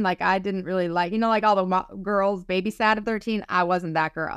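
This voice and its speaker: A woman talks at a moderate pace with ordinary pitch variation, the sound dry with no echo against a quiet background. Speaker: psychic medium and spiritual teacher. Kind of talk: casual interview. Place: home room. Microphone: video call.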